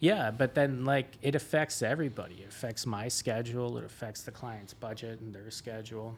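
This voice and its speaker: A man with a Canadian accent speaks in a normal speaking voice at a medium pitch and a fairly quick pace, with hardly any pauses. His intonation stays fairly even while his loudness swings widely. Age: 30s. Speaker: renovation contractor. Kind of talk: casual interview chat.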